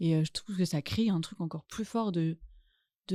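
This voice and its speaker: The voice is dark and mellow, somewhat breathy, at a moderate pace, with a dry, close sound and no echo. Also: woman. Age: 20s. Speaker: actress and author. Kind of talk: casual chat.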